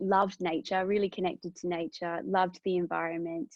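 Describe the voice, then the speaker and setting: A woman's fairly low-pitched, fairly quick speech with an Australian accent. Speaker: business sustainability professional, career speaker. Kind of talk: career talk to students. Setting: online webinar. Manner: reflective, with many fillers.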